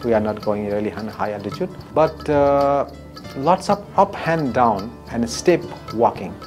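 As clear music plays behind him, a man talks. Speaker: local tour guide. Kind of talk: interview answer. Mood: warm, appreciative.

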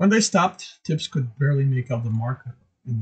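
Over a quiet background comes a natural reading voice with lively intonation.

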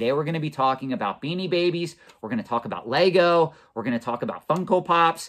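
A man's lively intonation stands out over a quiet background. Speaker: collectibles finance channel host. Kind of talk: commentary. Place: office.

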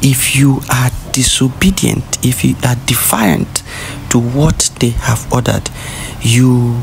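A man speaks over noticeable background noise. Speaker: separatist news commentator. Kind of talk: rally speech. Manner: urgent, preachy, admonishing; emphatic, repetitive, rallying-cry cadence.

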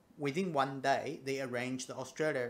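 The intonation is fairly even. A man speaks at a moderate pace. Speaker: audio gear vlogger. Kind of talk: casual vlog chat. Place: home room. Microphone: phone near.

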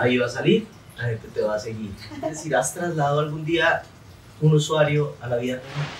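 Audible room echo and noticeable background noise surround the recording. A man speaks at a fairly quick pace with ordinary pitch variation. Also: fairly high pitch for a man. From Colombia, Santander. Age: 30s. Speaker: comedian and interviewer. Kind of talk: casual interview. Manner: animated.

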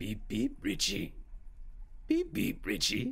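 A put-on character voice at a fairly slow pace. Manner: creepy, taunting, sing-song.

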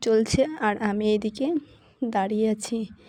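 Dark, mellow tone from a woman with a fairly high pitch and ordinary pitch variation. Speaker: vlogger. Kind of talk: casual vlog narration. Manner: halting.

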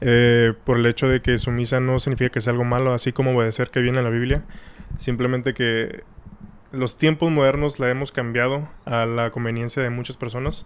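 The delivery moves at a fairly quick pace in a flat, monotone intonation. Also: man, medium pitch for a man. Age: 20s. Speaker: podcast guest. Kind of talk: casual chat.

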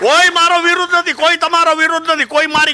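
A man's bright, sharp tone comes in a raised, projected voice, with a dry, close sound and no echo. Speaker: farmer leader. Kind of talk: public speech. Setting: stage with audience.

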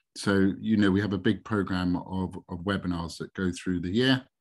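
A man with a very deep, low pitch speaks with fairly even intonation against a quiet background. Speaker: webinar presenter. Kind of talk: webinar presentation. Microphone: video call.

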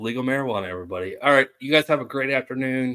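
A man talks at a medium pitch with a fairly bright tone and ordinary pitch variation.

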